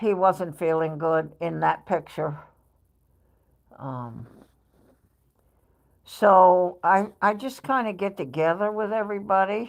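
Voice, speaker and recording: On a very clean recording with a silent background, a woman with an American accent speaks at a very slow pace with long, frequent pauses. Her medium-pitched voice has lively intonation. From New York. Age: 70s. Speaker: live streamer. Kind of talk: casual chat.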